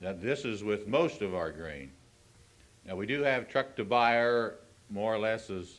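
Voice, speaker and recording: A man with a Midwestern American accent, a fairly low pitch and a moderate pace. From Ohio. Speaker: farm organization grain representative. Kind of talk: convention speech. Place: hall. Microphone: old recording.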